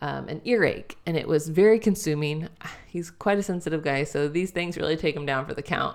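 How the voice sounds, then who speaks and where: A woman's fairly quick, fairly low-pitched delivery with ordinary pitch variation and an unremarkable speaking voice. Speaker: podcast host. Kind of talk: casual conversational podcast chat.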